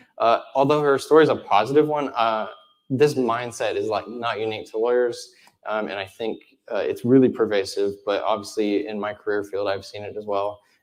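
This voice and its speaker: The man speaks at a moderate pace with big swings in loudness. The background is quiet. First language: American Sign Language. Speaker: conference speaker, web developer. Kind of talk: conference talk.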